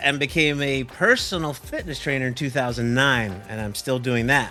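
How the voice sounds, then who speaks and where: Over music in the background, a man talks at a moderate pace and medium pitch with ordinary pitch variation. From western Canada, Vancouver. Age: 60s. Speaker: drum teacher and personal trainer. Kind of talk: casual chat.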